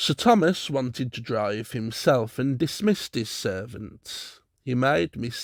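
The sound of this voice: Lively intonation runs through an unforced reading voice. Nothing much stirs in the background.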